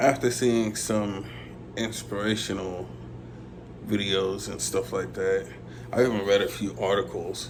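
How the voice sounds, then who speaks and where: A man's voice with vocal fry and very wide pitch swings, at a fairly slow pace with long, frequent pauses. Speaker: visually impaired gamer vlogger. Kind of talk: casual talk to camera.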